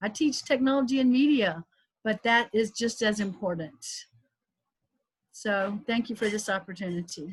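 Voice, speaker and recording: Somewhat breathy and fairly high-pitched, a woman with a slight Southern US accent speaks at a moderate pace with ordinary pitch variation and long, frequent pauses. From US South, South Carolina. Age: 60s. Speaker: professor. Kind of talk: panel discussion.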